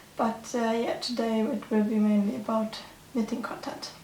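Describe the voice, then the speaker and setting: A woman talks at a high pitch with a German accent. There is noticeable background noise. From Germany. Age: 20s. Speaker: knitting podcaster. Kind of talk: casual chat. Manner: halting.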